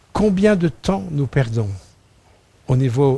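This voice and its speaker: Speaking at a very slow pace, a man with a fairly high pitch sounds somewhat breathy, his intonation lively. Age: 60s. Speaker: preacher. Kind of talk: sermon. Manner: halting.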